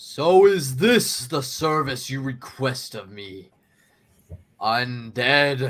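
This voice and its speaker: A man's put-on character voice at medium pitch and a very slow pace. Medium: actual play. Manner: grandiose, menacing.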